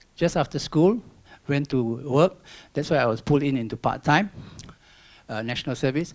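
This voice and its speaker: A Singaporean accent with ordinary pitch variation. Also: man. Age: 60s. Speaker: environmental volunteer and retired banker. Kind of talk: public talk. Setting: stage with audience.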